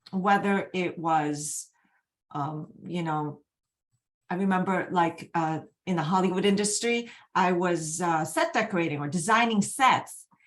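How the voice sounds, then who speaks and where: The woman's voice sits fairly low, moving at a fairly slow pace with ordinary pitch variation. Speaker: energy healing coach. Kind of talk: live webinar presentation. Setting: online video event.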